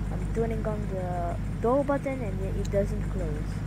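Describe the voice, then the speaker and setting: The recording has a dry sound with no echo, underneath loud background noise. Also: woman. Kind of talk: tutorial.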